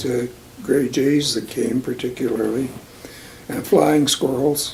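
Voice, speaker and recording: In a Western Canadian accent, a man talks at a fairly slow pace in a relaxed tone, his medium pitch varying in an ordinary way over noticeable background noise. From Alberta, Canada. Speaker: long-time local resident. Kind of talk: oral history interview answer. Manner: relaxed, reminiscing.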